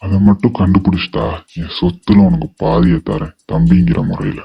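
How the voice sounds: A man does a cartoonish character voice at a moderate pace, his pitch very deep and low yet swinging very widely. The sound is dry and close, with no echo.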